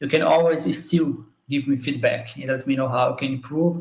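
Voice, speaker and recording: A man speaks at a moderate pace. He has a Portuguese accent. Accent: own accent, Portuguese-speaking. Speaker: biomathematics educator. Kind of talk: live stream talk. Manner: halting.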